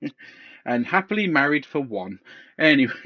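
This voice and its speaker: Speaking at a moderate pace in a West Country accent, a man with a fairly high pitch shows very wide pitch swings and some vocal fry. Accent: West Country, likened to a pirate. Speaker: podcast co-host. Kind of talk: casual chat. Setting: on a couch.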